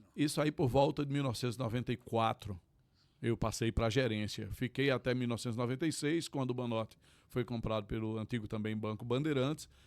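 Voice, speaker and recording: This man talks fairly quickly with a northeastern Brazilian accent, at a medium pitch with ordinary pitch variation. The sound is dry and close with no echo, on a very clean recording with a silent background. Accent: northeastern Brazilian, sertanejo. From Pernambuco sertão, Tacaratu. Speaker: forró venue owner, lawyer. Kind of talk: interview. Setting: studio.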